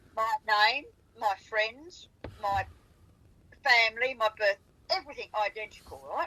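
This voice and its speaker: Bright and sharp, a woman's fairly high voice carries lively intonation. She speaks at a fairly slow pace with long, frequent pauses. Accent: Australian. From South Australia. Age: 80s+. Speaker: farmer recalling wildlife sightings. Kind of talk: casual chat. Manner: animated.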